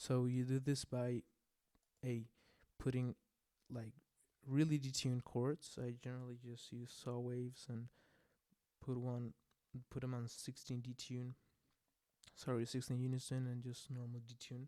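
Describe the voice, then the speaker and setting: A man's medium-pitched voice in a non-native accent, dark and mellow in tone, monotone and flat, at a moderate pace with long, frequent pauses. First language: not English. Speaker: music producer. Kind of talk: tutorial. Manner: casual, hesitant with fillers. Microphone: volume gets too quiet at points.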